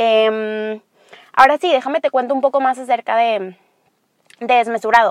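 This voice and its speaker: Dry and close with no echo, the voice moves at a fairly slow pace. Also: woman. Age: 20s. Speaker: podcast host. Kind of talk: solo monologue.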